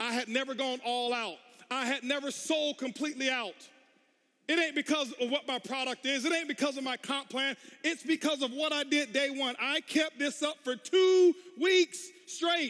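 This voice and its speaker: Loud and at a moderate pace, a man speaks at an extremely high pitch in a bright, sharp tone with ordinary pitch variation. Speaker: network marketing speaker. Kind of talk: motivational speech. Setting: stage with audience. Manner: intense.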